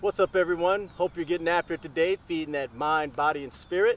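A man talks. There is some faint noise behind him. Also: dry sound with no echo. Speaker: fitness coach. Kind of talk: workout tutorial intro. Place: stadium.

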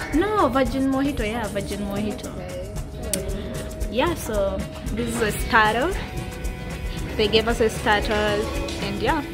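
A woman at a fairly slow pace, with long, frequent pauses and clear music in the background. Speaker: vlogger. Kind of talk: casual vlog chat. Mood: playful, excited. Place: cafe. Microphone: phone near.

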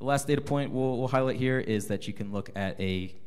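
Ordinary pitch variation and a moderate pace from a man, an ordinary speaking voice. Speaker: marketing lead, panelist. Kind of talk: conference panel presentation. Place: meeting room. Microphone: handheld.

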